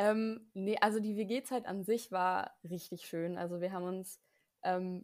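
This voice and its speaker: This woman has a medium-pitched voice and fairly even intonation, an ordinary speaking voice. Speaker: podcast co-host, student. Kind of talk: casual chat.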